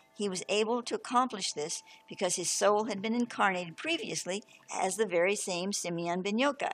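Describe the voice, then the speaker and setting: The woman's pitch is medium. Background music plays behind her. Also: ordinary pitch variation, fairly quick pace. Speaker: spiritual teacher. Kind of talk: reading aloud with commentary; spiritual talk. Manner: halting.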